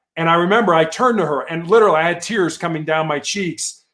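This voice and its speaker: A man with an unremarkable speaking voice talks at a fairly quick pace with an American accent and fairly high pitch. The recording is very clean, with a silent background. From Chicago, US Midwest. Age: 60s. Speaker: cancer survivor and motivational speaker. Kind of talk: interview testimony. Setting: live video show.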